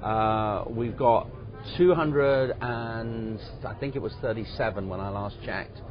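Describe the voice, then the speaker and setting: With an English accent, a man talks at a fairly slow pace and ordinary pitch variation. Noticeable background noise and audible room echo are present. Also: medium pitch for a man. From England. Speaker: business incubator executive. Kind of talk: interview.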